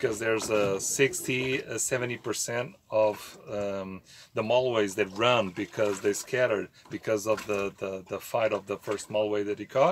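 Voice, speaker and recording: A man with a Portuguese accent and a fairly low pitch speaks fairly slowly in a very clean recording with a silent background. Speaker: fishing YouTuber. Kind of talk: tutorial. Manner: halting, many fillers.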